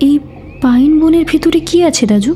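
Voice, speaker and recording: Amid clear background noise, a woman speaks in a put-on character voice with a high pitch. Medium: audio drama. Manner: fearful yet anxious.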